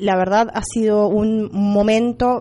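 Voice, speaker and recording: Clear background noise is present throughout. Through it, a woman can be heard talking. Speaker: schoolteacher. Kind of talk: school radio presenting. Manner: hesitant with fillers. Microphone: microphone problem.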